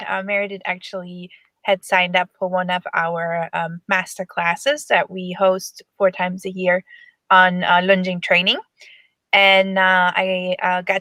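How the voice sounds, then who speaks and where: Speaking with a German accent, a woman uses a medium-pitched, bright, sharp voice at a moderate pace, with monotone, flat intonation and a dry, close sound with no echo. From Germany. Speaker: horse lunging coach. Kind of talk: webinar presentation. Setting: online webinar. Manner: halting, many fillers.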